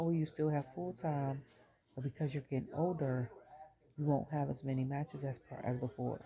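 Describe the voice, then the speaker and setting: Somewhat breathy, with a dark, mellow tone, a woman speaks at a moderate pace in a very deep, low pitch with ordinary pitch variation. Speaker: wrestling show reviewer. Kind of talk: casual chat.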